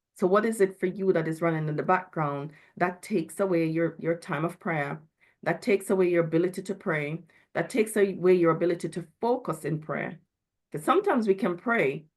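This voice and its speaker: Against a quiet background, a woman with a fairly low pitch speaks in a normal speaking voice. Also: ordinary pitch variation, fairly quick pace. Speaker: mental health speaker at church. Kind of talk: talk.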